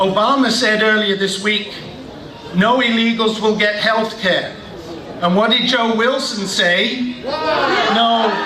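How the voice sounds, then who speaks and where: A man uses a raised, projected voice at a high pitch, speaking at a very slow pace with long, frequent pauses, monotone, flat intonation and very even loudness. Noticeable background noise and audible room echo surround him. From Britain. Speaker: political rally speaker. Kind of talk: political rally speech.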